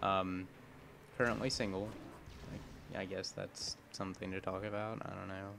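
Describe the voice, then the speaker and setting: A man speaks at a moderate pace with a fairly low pitch and monotone, flat intonation. Long, frequent pauses break up his speech. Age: 20s. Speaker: gaming YouTuber. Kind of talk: gameplay commentary.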